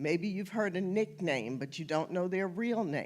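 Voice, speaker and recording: A woman's plain, everyday voice, fairly low in pitch with lively intonation, on a very clean recording with a silent background. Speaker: genealogy presenter. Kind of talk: lecture.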